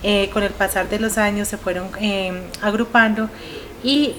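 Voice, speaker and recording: Against noticeable background noise, a woman speaks at a medium pitch with monotone, flat intonation. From Colombia. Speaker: veterans' foundation president. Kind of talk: interview.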